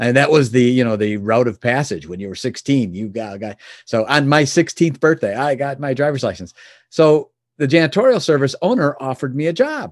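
A man speaks at a fairly quick pace with lively intonation and medium pitch, on a very clean recording with a silent background. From Chicago area, US. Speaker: business founder. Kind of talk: interview. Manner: hesitant with fillers.

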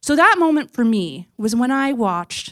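A woman talks with a Canadian accent at a moderate pace, her pitch fairly high and her intonation lively. She has an unremarkable speaking voice, and the recording is very clean with a silent background. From Ontario, Canada (small town). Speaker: nonprofit development officer. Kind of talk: storytelling talk. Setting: stage with audience.

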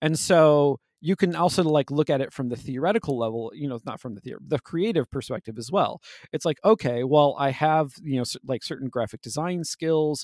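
A man's fairly high, fairly quick delivery in an ordinary speaking voice, with ordinary pitch variation, dry, close sound with no echo, and a very clean recording with a silent background. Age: 40s. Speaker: game design podcast host. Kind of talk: casual chat.

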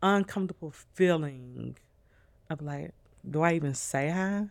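In a very clean recording with a silent background, a woman with a Southern US accent talks at a fairly slow pace in a very deep, low pitch with ordinary pitch variation. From New Orleans, Louisiana, raised in Nashville. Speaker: podcast guest sharing abuse story. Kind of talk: casual chat.

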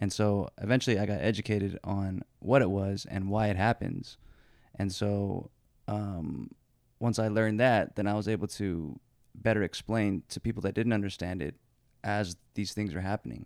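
A man's unremarkable speaking voice, fairly low in pitch with ordinary pitch variation and a moderate pace, on a very clean recording with a silent background. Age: 30s. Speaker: musician, rapper. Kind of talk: casual interview chat.

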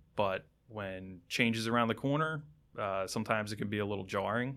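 A man with an American accent talks at a moderate pace in an unremarkable speaking voice, pitched fairly low. The recording is very clean, with a silent background. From southeastern Pennsylvania, outside Philadelphia. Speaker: fire lieutenant. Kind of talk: casual interview. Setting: studio.

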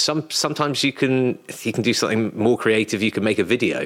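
A man with a British accent talks at a fairly quick pace. His pitch variation is ordinary. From UK. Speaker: literary agent. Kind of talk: interview conversation. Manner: halting with frequent repetitions.

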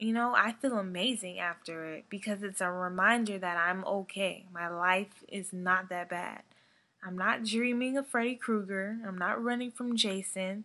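With a bright, sharp tone and an animated delivery, a woman talks at a moderate pace at medium pitch with ordinary pitch variation. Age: 20s. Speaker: horror podcast host. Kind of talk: casual monologue.

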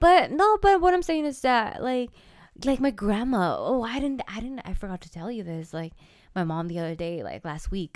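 A woman with an American accent speaks at a moderate pace in a high voice, with very wide pitch swings and big swings in loudness. The recording is very clean, with a silent background. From California. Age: 20s. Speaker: podcast co-host. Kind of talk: casual chat.

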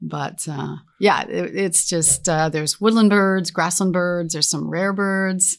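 A woman in an ordinary speaking voice talks at a fairly slow pace, fairly low in pitch with fairly even intonation, on a very clean recording with a silent background. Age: 60s. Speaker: business co-founder. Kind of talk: interview. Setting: outdoors.

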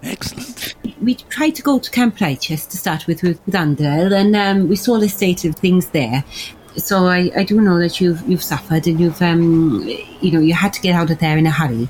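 Lively in intonation, a normal speaking voice moves at a moderate pace. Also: woman, fairly low pitch for a woman. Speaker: tabletop role-playing game player. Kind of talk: casual chat.

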